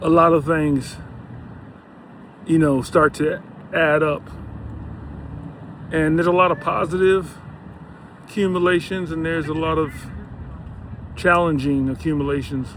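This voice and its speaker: Over noticeable background noise, a man with a fairly high pitch speaks in a relaxed tone at a moderate pace, with fairly even intonation and long, frequent pauses. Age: 60s. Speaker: health and lifestyle vlogger. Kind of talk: casual vlog monologue. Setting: outdoors on a bike ride by the beach. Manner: relaxed, filler-heavy.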